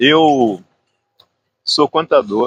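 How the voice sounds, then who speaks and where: The man's speech has ordinary pitch variation and a dry, close sound with no echo. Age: 80s+. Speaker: veteran amateur runner. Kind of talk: interview.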